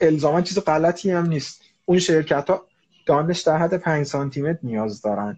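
A man with an unremarkable speaking voice, fairly high pitch, lively intonation and a fairly quick pace. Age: 30s. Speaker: HR manager and coach. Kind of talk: casual chat.

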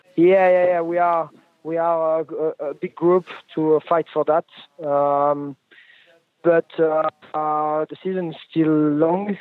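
Very slowly and with long, frequent pauses, a man speaks at a fairly high pitch in a flat monotone. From France. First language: French. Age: 20s. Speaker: motorcycle racer. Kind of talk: interview. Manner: halting, many fillers.

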